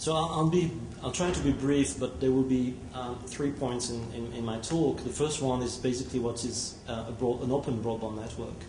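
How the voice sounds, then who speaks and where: A moderate pace and ordinary pitch variation, with audible room echo and noticeable background noise. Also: man, medium pitch for a man. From France. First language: French. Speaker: telecom technology executive. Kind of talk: conference presentation. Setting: conference hall with audience. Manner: halting, many fillers.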